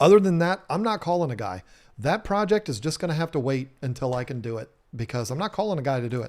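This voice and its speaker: In a very clean recording with a silent background, a man with a Southern US accent and a fairly high pitch speaks at a very fast pace with very wide pitch swings. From US South. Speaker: home renovation YouTuber. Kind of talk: live stream chat. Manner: casual, many fillers.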